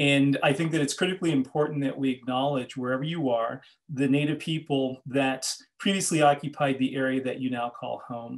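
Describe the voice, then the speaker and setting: Over a quiet background, a man with an American accent talks at a fairly quick pace, his fairly high pitch held in fairly even intonation. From Los Angeles, US. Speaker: journalist and author; journalist. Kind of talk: lecture. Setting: video call. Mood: earnest, thoughtful. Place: home room. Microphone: webcam.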